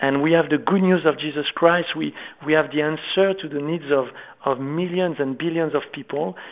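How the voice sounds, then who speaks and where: With a French accent, a man speaks at a fairly high pitch with ordinary pitch variation. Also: moderate pace. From France. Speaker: ministry founder. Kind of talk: interview. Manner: halting.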